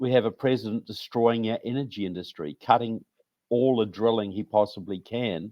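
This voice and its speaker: A man with a New Zealand accent, medium pitch, ordinary pitch variation and a moderate pace. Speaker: author and researcher. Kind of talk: interview. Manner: halting.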